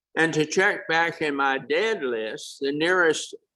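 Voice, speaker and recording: Here a man speaks with an American accent at a fairly slow pace. His voice is fairly high in pitch, with a bright, sharp tone. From Virginia, Norfolk. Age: 80s+. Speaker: club member, past president, Navy veteran. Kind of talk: club meeting speech.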